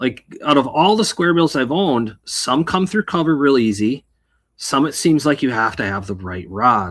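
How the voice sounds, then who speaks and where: A man with a Wisconsin accent speaks at a moderate pace, his fairly high pitch swinging very widely. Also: very clean recording, silent background. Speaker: bass fishing podcast co-host. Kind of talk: casual chat. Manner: halting.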